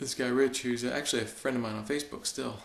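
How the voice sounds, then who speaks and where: A soft-spoken man with an American accent, medium pitch, and monotone, flat intonation at a very fast pace, with audible room echo. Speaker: fitness video blogger. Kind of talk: video blog monologue. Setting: basement at home at night. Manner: halting.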